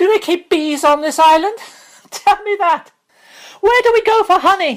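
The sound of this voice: A shrill, squeaky put-on character voice at a moderate pace, with ordinary pitch variation. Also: woman, extremely high pitch for a woman.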